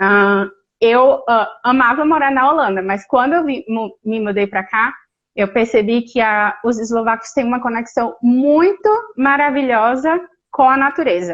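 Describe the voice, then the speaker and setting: A woman's high-pitched voice at a fairly slow pace with ordinary pitch variation. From Brazil, Natal (Northeast). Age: 30s. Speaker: Brazilian expat living abroad. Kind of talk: casual interview chat.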